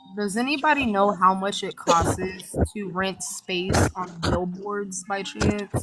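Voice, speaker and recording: Music plays in the background as a woman speaks with fairly even intonation. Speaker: live stream participant. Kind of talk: casual chat. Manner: fast.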